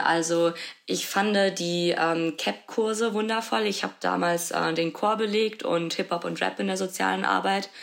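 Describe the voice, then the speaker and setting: This is a woman with a fairly low pitch and an ordinary speaking voice. She talks at a moderate pace with ordinary pitch variation. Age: 20s. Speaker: social work student. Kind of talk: interview.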